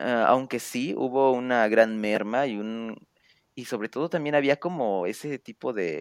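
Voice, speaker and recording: Recorded very cleanly against a silent background, a man with a Mexican accent speaks fairly slowly with ordinary pitch variation and a dry, close sound with no echo. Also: medium pitch for a man. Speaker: podcast host. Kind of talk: podcast interview. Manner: stuttering, halting.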